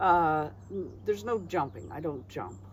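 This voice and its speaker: A woman with a very deep, low pitch and a somewhat breathy voice speaks at a moderate pace. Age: 60s. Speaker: retired traveller and artist. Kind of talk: casual chat.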